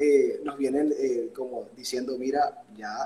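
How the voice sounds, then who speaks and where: This is a man speaking. His pace is very slow. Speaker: pastor and worship singer. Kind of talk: interview.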